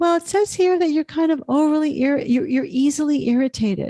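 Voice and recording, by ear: A woman's put-on character voice, breathy and high-pitched, at a fairly quick pace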